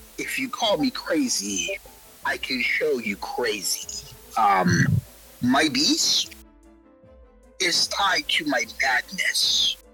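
A put-on character voice moves at a very slow pace. Faint music plays in the background. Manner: casual, rambling, then menacing.

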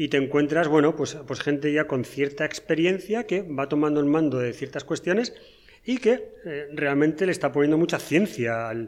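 This man has a plain, everyday voice, fairly high-pitched for a man, with ordinary pitch variation at a moderate pace. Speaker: podcast co-host. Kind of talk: casual chat.

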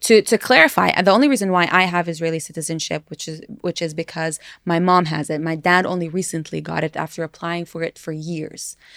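With an American accent, a normal speaking voice moves at a fairly quick pace with fairly even intonation and big swings in loudness, recorded very cleanly with a silent background and a dry, close sound with no echo. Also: woman, fairly low pitch for a woman. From US-raised, then East Jerusalem. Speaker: podcast co-host. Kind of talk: casual chat.

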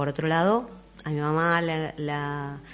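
Very deep, low female speech with ordinary pitch variation. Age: 40s. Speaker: human rights activist. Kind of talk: testimony. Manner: halting.

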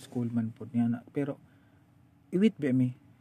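A dark, mellow male voice at a medium pitch, its pitch variation ordinary. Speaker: podcast host. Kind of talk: casual chat.

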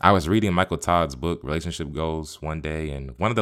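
The recording is very clean, with a silent background. A man with an American accent speaks at a very deep, low pitch with ordinary pitch variation. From Tampa, Florida, US. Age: 20s. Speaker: podcast host, college student. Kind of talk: solo personal podcast, reading own essay aloud.

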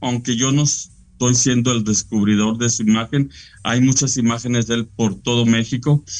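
Here a man is talking. His pitch is medium. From Mexico, Frontera/Monclova, Coahuila. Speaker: painter. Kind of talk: interview. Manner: halting.

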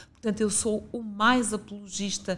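A woman's medium-pitched voice is heard on a very clean recording with a silent background. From northern Portugal, Guimarães (Minho). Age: 50s. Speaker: regional director of a youth and sports institute, former philosophy teacher. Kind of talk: interview.

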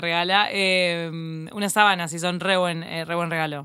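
A woman speaks in an unremarkable speaking voice. Her intonation is fairly even. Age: 30s. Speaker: journalist. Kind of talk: casual chat.

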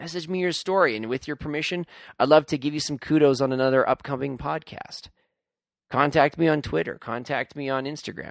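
With vocal fry and ordinary pitch variation, a man talks at a fairly quick pace in a fairly high voice.

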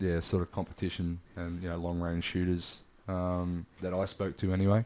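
A man with an Australian accent, very deep and low in pitch, dark and mellow in tone, flat and monotone at a moderate pace, in a very clean recording with a silent background. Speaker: brand founder and seller. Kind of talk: casual chat.

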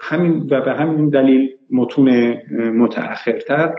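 This man has an unremarkable speaking voice, medium in pitch, with fairly even intonation. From Iran, Fars province (Abadeh). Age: 50s. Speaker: professor of history of religions. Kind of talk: interview. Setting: live video stream.

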